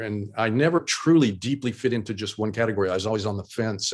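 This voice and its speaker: A man with an American accent and fairly low pitch talks at a fairly quick pace in an unremarkable speaking voice, with a quiet background. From Oklahoma. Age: 60s. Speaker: illustrator and designer. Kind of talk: casual interview. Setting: video call.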